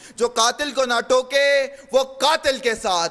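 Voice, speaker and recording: This man speaks at an extremely high pitch in a passionate tone that is bright and sharp. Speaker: university debater. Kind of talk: humorous declamation, speech delivered in a debate. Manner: passionate, forceful, rhetorical.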